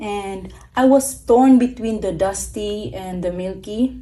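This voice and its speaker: Speaking with a non-native accent, a woman uses ordinary pitch variation. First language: not English. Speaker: stationery YouTuber. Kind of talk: product review. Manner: casual, hesitant with fillers.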